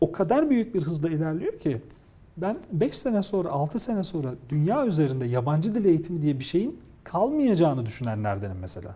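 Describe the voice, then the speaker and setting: A high-pitched man at a fairly quick pace, with very wide pitch swings. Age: 40s. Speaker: technology communicator and lecturer. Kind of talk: interview.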